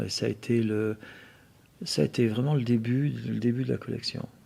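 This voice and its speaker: At a moderate pace, a man with medium pitch and a dark, mellow tone speaks with ordinary pitch variation. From France, Auvergne (Riom area). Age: 60s. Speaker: motorcycle museum owner and collector. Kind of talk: interview. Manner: halting, many repetitions.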